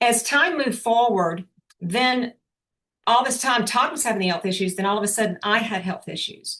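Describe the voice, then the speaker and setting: With a normal speaking voice, a woman talks at a moderate pace, her fairly high pitch moving with ordinary variation. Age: 60s. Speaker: motivational speaker, business owner. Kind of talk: motivational talk on video call. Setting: video call.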